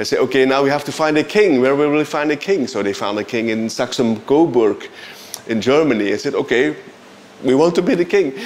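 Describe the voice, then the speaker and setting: A man with a Flemish Belgian accent speaks at a fairly high pitch. Noticeable background noise runs behind him. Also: lively intonation. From Belgium (Flanders). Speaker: composer and bandleader. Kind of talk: interview. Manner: halting, frequent repetitions.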